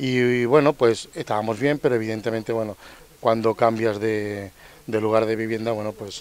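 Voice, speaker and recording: With a dry sound and no echo, a man's speech moves fairly quickly. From Melilla, North Africa (Spain); Spain. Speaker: resident; interviewee. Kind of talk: interview; interview answer. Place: street. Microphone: handheld.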